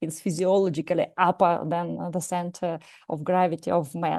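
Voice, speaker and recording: A woman with a Russian accent speaks at a fairly low pitch. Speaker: psychologist and martial arts teacher. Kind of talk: lecture. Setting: live lecture with audience. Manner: halting, many hesitations.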